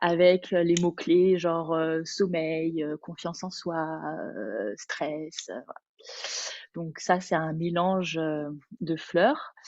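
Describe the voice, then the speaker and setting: At a very slow pace, a woman speaks at a fairly low pitch with ordinary pitch variation and big swings in loudness. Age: 30s. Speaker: Bach flower consultant and Pilates teacher. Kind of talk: webinar presentation. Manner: hesitant, many fillers.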